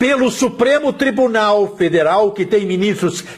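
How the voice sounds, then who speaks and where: A man's high-pitched voice at a fairly slow pace over noticeable background noise. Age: 60s. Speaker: journalist and blogger. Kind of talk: political commentary monologue. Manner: forceful.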